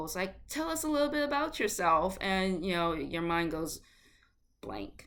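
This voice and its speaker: In a room with audible echo, a woman with a slight Boston accent speaks fairly slowly, her pitch varying in an ordinary way. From Boston, Massachusetts. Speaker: actor and writer, vlogger. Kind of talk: casual vlog Q&A. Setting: at home in summer heat. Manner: casual, chatty.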